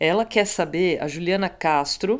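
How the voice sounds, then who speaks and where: A woman's medium-pitched, unremarkable speaking voice with ordinary pitch variation. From Brazil. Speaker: music show host; podcast host. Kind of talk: casual interview. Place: studio. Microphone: studio mic.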